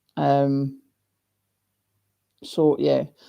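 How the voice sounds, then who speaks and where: Her tone dark and mellow, a woman speaks with a very deep, low pitch. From Scotland. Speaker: YouTuber hosting live chat. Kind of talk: live stream chat reading comments. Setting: live stream.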